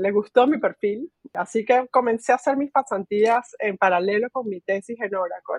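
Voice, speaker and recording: Lively in intonation, a woman talks at a moderate pace. The sound is dry and close, with no echo. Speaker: technology executive. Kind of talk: interview. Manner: filler-heavy, hesitant.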